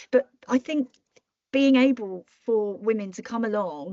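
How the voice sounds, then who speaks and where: A woman's fairly high-pitched voice with a British accent. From Britain. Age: 60s. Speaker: marketing strategist and entrepreneur. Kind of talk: podcast interview.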